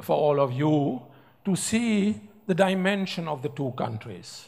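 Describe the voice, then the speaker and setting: A man with a German accent, lively intonation and a fairly slow pace. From Germany. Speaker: professor and business speaker. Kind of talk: speech with slides. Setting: award ceremony stage with audience. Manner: halting.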